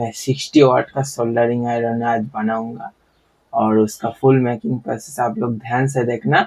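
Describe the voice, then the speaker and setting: A man's intonation stays monotone and flat. His pitch sits in the medium range. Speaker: DIY electronics YouTuber. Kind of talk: tutorial. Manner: casual, conversational.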